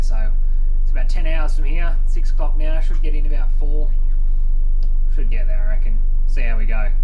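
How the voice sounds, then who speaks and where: Noticeable background noise runs under this recording. A man speaks at an extremely high pitch. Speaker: road trip vlogger. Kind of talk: casual vlog chat. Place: bus. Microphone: phone near.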